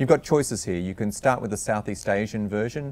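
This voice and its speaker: A man speaks with a fairly low pitch. His intonation is lively. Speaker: webcast presenter for speech recognition software; presenter. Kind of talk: webinar Q&A. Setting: online webcast. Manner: fast. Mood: friendly, lightly humorous. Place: studio.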